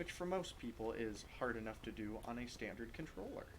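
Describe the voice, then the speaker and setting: A man whispers, with audible room echo around him. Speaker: gaming youtuber. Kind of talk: gameplay commentary. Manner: slow.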